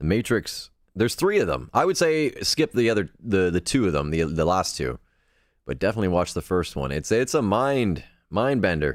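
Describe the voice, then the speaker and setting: A man's fairly low voice with vocal fry and very wide pitch swings, at a moderate pace, in a very clean recording with a silent background. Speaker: podcast host. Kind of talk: live podcast chat reading viewer comments. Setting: live stream. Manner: casual, hesitant with fillers.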